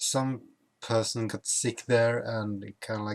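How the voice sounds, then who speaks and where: In a Swedish accent, a man speaks at a very slow pace with a medium pitch and monotone, flat intonation, the sound dry and close with no echo. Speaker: YouTuber. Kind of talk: casual vlog. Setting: at home.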